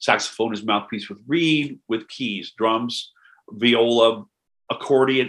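Delivered in a plain, everyday voice with an American accent, the speech moves at a moderate pace with ordinary pitch variation. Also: man. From US Midwest, Knox County, Illinois. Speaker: jazz drummer. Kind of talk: casual chat.

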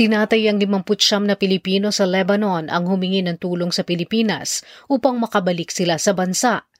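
A woman has a normal speaking voice with a medium pitch and ordinary pitch variation. She talks at a moderate pace on a very clean recording with a silent background. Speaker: news anchor. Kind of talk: news reading. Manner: formal; steady, measured pace.

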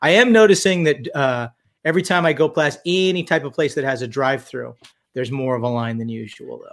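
Speaking at a fairly quick pace, a man uses lively intonation and big swings in loudness in a fairly high voice. He has an unremarkable speaking voice, on a very clean recording with a silent background. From California. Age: 50s. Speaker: physician and special forces veteran. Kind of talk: casual chat.

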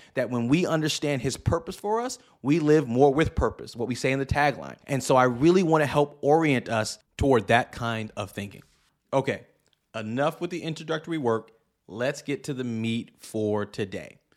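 A man speaks at a medium pitch with an animated tone and ordinary pitch variation. The recording is very clean, with a silent background. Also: moderate pace. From US Northeast, New York City. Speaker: pastor and podcast host. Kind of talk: podcast monologue, sermon-like teaching.

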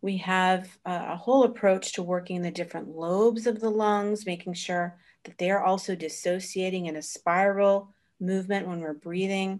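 A woman with an ordinary speaking voice and an American accent, medium pitch, fairly even intonation, big swings in loudness and a moderate pace. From Florida, US. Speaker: osteopathic practitioner and teacher. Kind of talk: interview.

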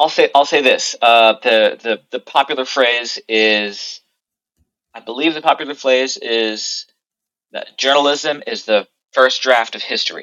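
A man speaks at a fairly slow pace in a bright, sharp tone. The sound is dry and close, with no echo. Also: medium pitch for a man, ordinary pitch variation. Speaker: artist. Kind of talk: casual chat.

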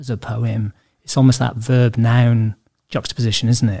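A man in a Welsh accent speaks in a dark, mellow tone at medium pitch. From Wales. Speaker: podcast host, subconscious therapist. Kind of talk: interview. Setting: studio.

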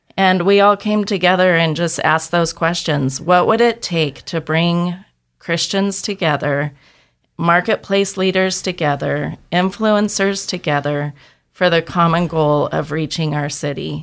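With an American accent and a normal speaking voice, a woman with a fairly low pitch talks at a fairly slow pace with ordinary pitch variation, in a very clean recording with a silent background. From Boise, Idaho. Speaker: ministry leader. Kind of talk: radio interview.

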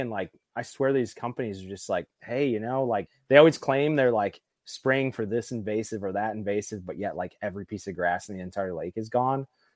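In a very clean recording with a silent background and a dry, close sound with no echo, a man with an American accent and a normal speaking voice talks at a fairly quick pace with lively intonation. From Southeast Michigan, US. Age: 30s. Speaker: bass fisherman. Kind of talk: casual chat.

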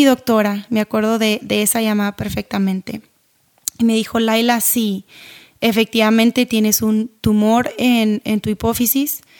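A woman with an ordinary speaking voice, a fairly high pitch and a fairly slow pace, heard in a dry, close sound with no echo. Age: 30s. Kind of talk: devotional podcast talk.

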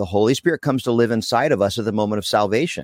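In a very clean, dry, close recording with no echo and a silent background, a man with an American accent and a plain, everyday voice speaks at medium pitch with ordinary pitch variation. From Pennsylvania, US. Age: 40s. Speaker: evangelist. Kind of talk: casual chat.

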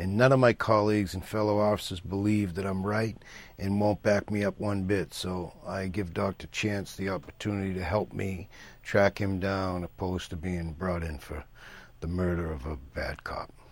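Using an unremarkable speaking voice, a man with fairly low pitch talks at a moderate pace with fairly even intonation. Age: 50s. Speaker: actor. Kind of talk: interview.

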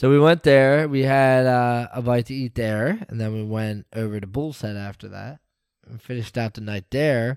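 An unremarkable speaking voice from a man at a medium pitch, with moderate pace and ordinary pitch variation, on a very clean recording with a silent background and a dry, close sound with no echo. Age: 30s. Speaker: sports podcast co-host. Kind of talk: casual chat.

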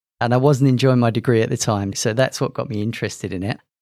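The recording is very clean, with a silent background. A man speaks at a very fast pace and medium pitch. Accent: London. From England, London. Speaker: IT executive. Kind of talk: interview.

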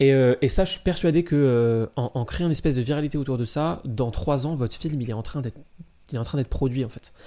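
A man at medium pitch talks fairly quickly with a dark, mellow tone and ordinary pitch variation. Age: 20s. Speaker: podcast co-host. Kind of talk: casual chat. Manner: emphatic, stresses certain words.

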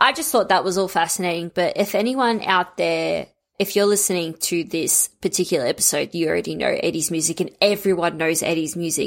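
Delivered at a moderate pace with ordinary pitch variation, this is a plain, everyday voice. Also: woman. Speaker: podcast host. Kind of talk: casual chat.

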